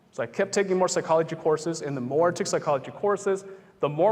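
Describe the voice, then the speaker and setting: Very fast speech comes in an American accent. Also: man. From US Hmong American community. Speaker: psychologist and motivational speaker. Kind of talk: public talk with Q&A. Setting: campus event with live audience. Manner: conversational.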